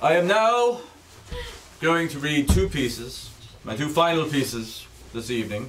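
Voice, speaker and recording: Over light background noise, a man talks at a fairly slow pace, with long, frequent pauses. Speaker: comic performer reading pieces. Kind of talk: comedic dramatic reading. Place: stage.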